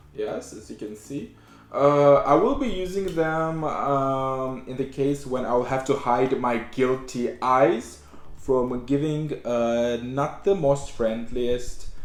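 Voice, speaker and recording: With audible room echo, a man speaks at a very slow pace, his medium pitch showing ordinary variation. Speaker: YouTuber reacting to music. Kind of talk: casual vlog intro. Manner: halting, with many fillers; trying to speak slowly.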